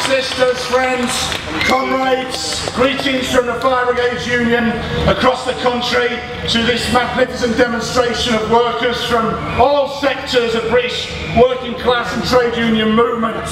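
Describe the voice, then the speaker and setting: Amid noticeable background noise and audible room echo, a man at an extremely high pitch speaks at a moderate pace in a monotone, flat way. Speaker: trade union leader. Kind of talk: rally speech. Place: stage.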